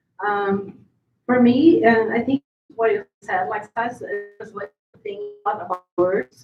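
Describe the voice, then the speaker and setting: A woman speaks with a Portuguese accent. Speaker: playwright. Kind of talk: panel discussion.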